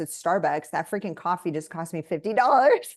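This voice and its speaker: A woman talking at a very fast pace, with ordinary pitch variation, over a quiet background. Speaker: author and entrepreneur. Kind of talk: webinar panel discussion.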